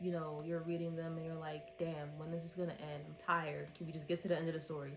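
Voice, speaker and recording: Amid noticeable background noise and audible room echo, a woman speaks at a fairly low pitch with ordinary variation. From Philadelphia, US. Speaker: book reviewer. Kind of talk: casual review monologue.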